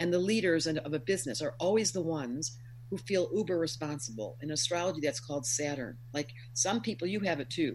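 A woman's very deep, low, somewhat breathy voice, fairly quick, with lively intonation. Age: 60s. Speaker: astrologer. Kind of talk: interview.

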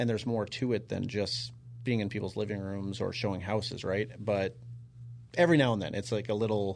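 In a plain, everyday voice, a man talks at a fairly quick pace with fairly low pitch and fairly even intonation. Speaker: podcast host. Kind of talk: casual interview chat.

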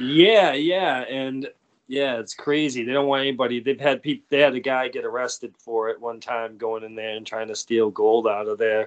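A man talks at a moderate pace with an American accent. His pitch is medium, with ordinary variation. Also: big swings in loudness. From Massachusetts, US (Foxborough, south of Boston). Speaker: plumber. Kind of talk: casual interview chat.

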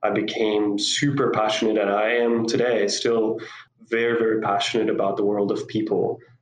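In a room with audible echo, a man speaks at medium pitch with monotone, flat intonation. His loudness stays very even. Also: moderate pace. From Costa Rica. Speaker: psychologist and school co-founder. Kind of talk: interview. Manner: halting.

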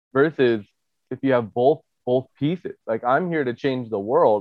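A man at a medium pitch and moderate pace, fairly even in intonation, with an unremarkable speaking voice. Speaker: podcast host and chiropractor. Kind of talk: casual interview.

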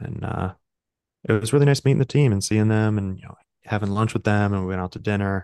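In an unremarkable speaking voice, a man with a fairly low pitch and an American accent talks with big swings in loudness and ordinary pitch variation, the sound dry and close with no echo. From US Midwest, Chicago. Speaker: startup founder. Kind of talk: interview conversation. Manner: casual, filler-heavy.

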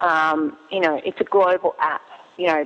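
A woman speaks in an Australian accent. Her intonation is monotone and flat. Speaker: cheese business owner and app founder. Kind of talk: interview.

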